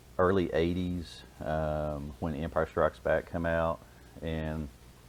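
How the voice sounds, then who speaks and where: The speaker is a man. He talks with a very deep, low pitch. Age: 40s. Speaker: police officer and toy collector. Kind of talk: casual chat.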